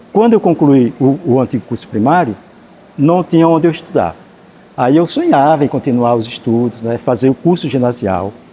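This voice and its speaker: This man has a fairly high voice with lively intonation. He talks at a fairly slow pace. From Sergipe, Brazil (Malhador, rural interior). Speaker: writer and teacher. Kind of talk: interview. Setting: library.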